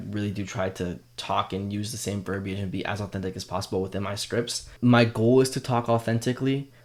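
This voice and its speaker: A man's fairly low-pitched voice at a very fast pace, with fairly even intonation. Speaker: content creator coach. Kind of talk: tutorial. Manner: casual. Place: home room. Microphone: studio mic.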